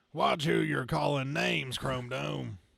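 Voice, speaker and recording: Someone performs a put-on character voice, raspy and at a fairly slow pace. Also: man, medium pitch for a man. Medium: read story. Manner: folksy, brash.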